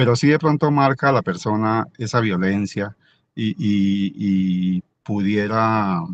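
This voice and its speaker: In a dry, close sound with no echo, a man speaks at a very slow pace, his fairly low pitch showing ordinary variation. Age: 60s. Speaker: merchant, participant in alumni dialogue. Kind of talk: personal testimony in online panel. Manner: halting, many repetitions.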